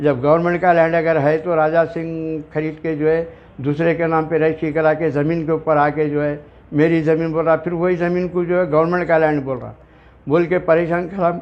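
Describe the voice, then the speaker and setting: At a moderate pace, a man talks in a fairly high, flat monotone. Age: 70s. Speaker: local resident making complaint. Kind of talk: testimony.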